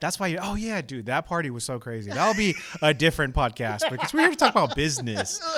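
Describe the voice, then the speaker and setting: Very fast speech with very wide pitch swings over noticeable background noise. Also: man, fairly high pitch for a man. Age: 30s. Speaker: podcast host. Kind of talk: casual chat. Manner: animated.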